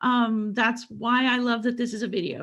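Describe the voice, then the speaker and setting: On a very clean recording with a silent background, a woman speaks at a fairly slow pace. She has a plain, everyday voice, a fairly high pitch and fairly even intonation. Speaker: business coach presenter. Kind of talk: recorded presentation. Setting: prerecorded video.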